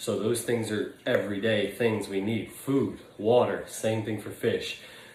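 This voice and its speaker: Room echo is audible as a man speaks at a fairly low pitch. His intonation is monotone and flat. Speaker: aquarium hobbyist YouTuber. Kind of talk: casual tutorial vlog. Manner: hesitant fillers.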